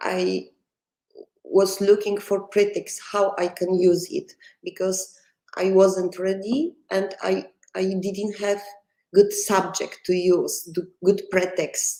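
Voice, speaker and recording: Very slowly, a woman speaks with a Polish accent. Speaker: film director. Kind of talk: interview. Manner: halting.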